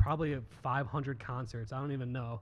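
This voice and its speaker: A man in an ordinary speaking voice talks at a moderate pace and medium pitch. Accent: American. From US Midwest, Cleveland Ohio area. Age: 30s. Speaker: photographer. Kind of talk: casual chat.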